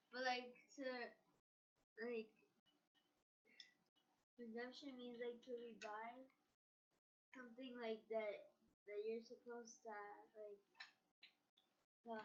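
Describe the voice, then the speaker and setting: A woman mumbles in a put-on character voice pitched high, monotone and flat. She goes at a fairly slow pace with long, frequent pauses. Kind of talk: casual, rambling. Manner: mumbling.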